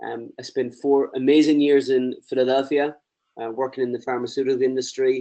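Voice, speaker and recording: A man with an Irish accent, medium in pitch and dark and mellow in tone, monotone and flat in intonation, at a fairly quick pace. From Ireland. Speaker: presenter, lean consultant. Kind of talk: webinar presentation.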